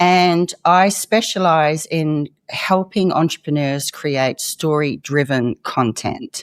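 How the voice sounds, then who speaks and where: With a very deep, low pitch and ordinary pitch variation, a woman speaks in an Australian accent, the sound dry and close with no echo. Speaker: former investigative journalist. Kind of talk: interview conversation.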